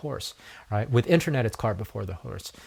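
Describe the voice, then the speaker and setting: A man at medium pitch with lively intonation, somewhat breathy and at a fairly quick pace, on a very clean recording with a silent background. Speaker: podcast host and network marketer. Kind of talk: solo podcast monologue. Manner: halting, many repeated words and fillers.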